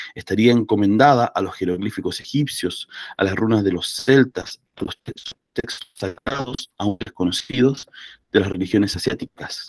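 In a dry, close sound with no echo, a plain, everyday voice moves at a moderate pace with ordinary pitch variation. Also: man, medium pitch for a man. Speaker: book club host. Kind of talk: book club discussion. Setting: video call.

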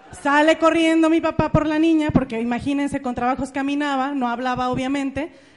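Animated and at a fairly quick pace, a woman with a Mexican accent talks in a high pitch with hardly any pauses. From Mexico, Jalisco (Ameca, near Guadalajara). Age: 30s. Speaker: motivational speaker, network marketing entrepreneur. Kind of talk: motivational talk. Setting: stage with audience.

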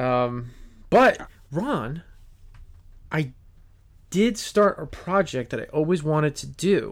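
A man with an American accent speaks at a very slow pace, his pitch swinging very widely between long, frequent pauses. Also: fairly high pitch for a man. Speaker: podcast host. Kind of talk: casual chat.

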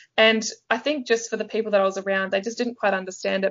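A woman is speaking. She has an Australian accent. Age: 20s. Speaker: life coach. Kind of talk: interview storytelling. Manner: animated.

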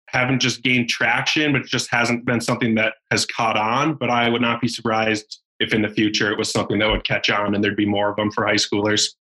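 Bright and sharp in tone, a man speaks at a fairly quick pace with an American accent. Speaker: college bass angler. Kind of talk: casual chat.

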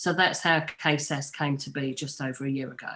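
A woman speaks with a very deep, low pitch at a moderate pace. Her intonation is monotone and flat. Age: 50s. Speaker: mental health nurse and suicide prevention advocate. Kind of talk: interview.

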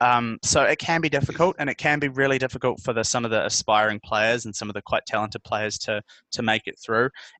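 With a New Zealand accent, a man of medium pitch talks very fast with hardly any pauses, his tone bright and sharp, his pitch variation ordinary, the sound dry and close with no echo against a quiet background. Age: 20s. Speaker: journalist. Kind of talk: casual interview.

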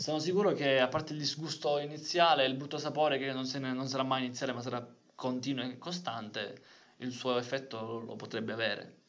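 A man at a medium pitch and fairly quick pace, with audible room echo. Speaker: podcast co-host. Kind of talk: casual chat.

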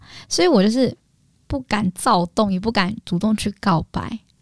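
With a dark, mellow tone, a woman speaks at medium pitch in a somewhat breathy voice. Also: very clean recording, silent background. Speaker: podcast co-host and YouTuber. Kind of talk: casual chat.

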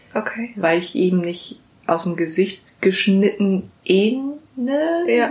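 Her pitch sits at a medium level. This woman's voice makes very wide pitch swings. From Germany, born in Vietnam, arrived at age four. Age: 20s. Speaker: interviewee sharing eating disorder story. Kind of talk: casual interview. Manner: animated.

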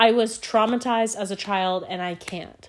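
A woman has a normal speaking voice at a medium pitch, with ordinary pitch variation. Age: 20s. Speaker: podcast host. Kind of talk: casual solo chat. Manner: rambling with many fillers and restarts.

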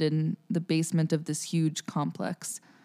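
A woman with an American accent speaks at a fairly slow pace in a dark, mellow tone, with a dry, close sound with no echo on a very clean recording with a silent background. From US Northeast (New Jersey, Bergen County). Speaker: jazz singer and music student. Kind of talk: casual interview.

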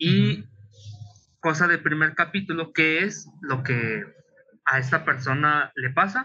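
A man's fairly high, bright, sharp voice with a Mexican accent and lively intonation, very slow with long, frequent pauses. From Mexico, provinces. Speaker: illustrator and webcomic author. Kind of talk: interview.

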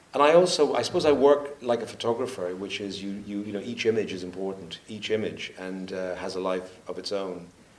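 At a moderate pace, a man with a normal speaking voice talks at a fairly low pitch, with ordinary pitch variation and big swings in loudness. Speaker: documentary photographer and film director. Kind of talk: panel Q&A conversation on stage. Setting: stage with audience.

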